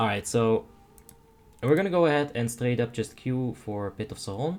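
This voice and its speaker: The man speaks with a Dutch accent at a medium pitch. His pace is fairly slow. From Netherlands. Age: 30s. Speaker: game streamer. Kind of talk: live gameplay commentary. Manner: casual, with stammered repeats.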